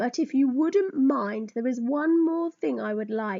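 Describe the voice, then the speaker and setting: A woman's high-pitched put-on character voice at a fairly slow pace. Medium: read story. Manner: gentle, polite.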